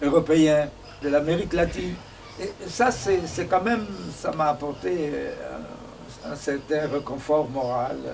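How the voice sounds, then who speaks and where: Noticeable background noise sits behind a man with a fairly high pitch and ordinary pitch variation. He speaks at a very slow pace with long, frequent pauses. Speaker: singer-songwriter. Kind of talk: interview. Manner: halting.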